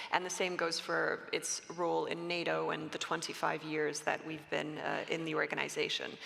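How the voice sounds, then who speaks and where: Noticeable background noise and audible room echo surround a woman who speaks at a moderate pace with a Canadian accent. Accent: Canadian-sounding English. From Canada. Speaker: panelist, policy expert. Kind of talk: panel discussion. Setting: conference stage with audience. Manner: hesitant, many fillers.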